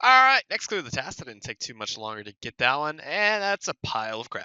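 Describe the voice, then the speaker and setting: The pace is very fast. Pitch swings very widely throughout. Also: man. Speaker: gaming youtuber. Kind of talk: gameplay commentary. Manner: casual, many fillers; quiet.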